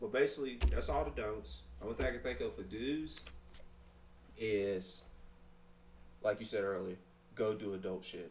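Here a man speaks in a fairly low pitch at a moderate pace, with vocal fry. His intonation is lively, and long, frequent pauses break it up. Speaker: podcast co-host. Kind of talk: casual chat.

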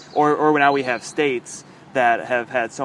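A man's unremarkable speaking voice, fairly quick and fairly even in intonation. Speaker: podcast host. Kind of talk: casual chat. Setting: outdoors.

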